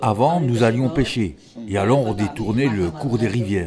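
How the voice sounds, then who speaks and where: The speech moves at a fairly slow pace with lively intonation. Background noise is noticeable. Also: man. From Nepal. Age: 60s. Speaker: traditional singer. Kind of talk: interview testimony.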